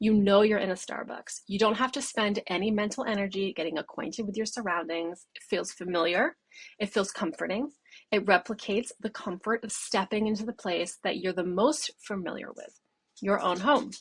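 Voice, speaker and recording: A woman with an American accent talks at a moderate pace in a medium pitch, somewhat breathy, her loudness swinging widely. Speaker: brand designer. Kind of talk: recorded presentation.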